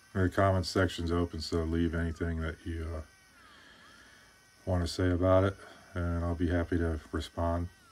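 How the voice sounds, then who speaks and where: In a very deep, low voice, a man speaks in a monotone at a moderate pace, his tone relaxed and his speech broken by long, frequent pauses. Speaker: woodcarver. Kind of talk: voiceover tutorial. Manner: flat, bored-sounding; relaxed, hesitant with fillers.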